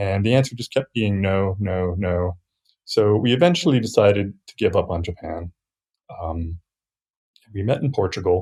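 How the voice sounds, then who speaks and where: A man with an American accent, fairly low-pitched, somewhat breathy, dark and mellow in tone, at a moderate pace with ordinary pitch variation, big swings in loudness and long, frequent pauses, on a very clean, dry, close recording with a silent background and no echo. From US, Virginia. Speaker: software developer. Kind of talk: casual chat.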